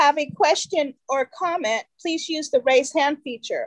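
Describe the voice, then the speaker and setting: Against a quiet background, a woman speaks at an extremely high pitch. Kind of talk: formal meeting procedure reading. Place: home room. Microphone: video call.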